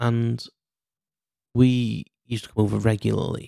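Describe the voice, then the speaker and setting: The tone is dark and mellow, with a Cheshire accent. The sound is dry and close, with no echo. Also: man. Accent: northern English (Cheshire). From England, Cheshire. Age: 40s. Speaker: podcast host. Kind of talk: casual solo monologue. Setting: mum's kitchen. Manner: hesitant, many fillers.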